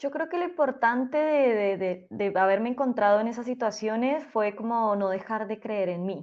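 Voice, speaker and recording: At a moderate pace and with hardly any pauses, a woman speaks in a fairly high pitch with lively intonation. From Colombia. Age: 30s. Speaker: teacher and school principal. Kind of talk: interview. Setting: podcast recording.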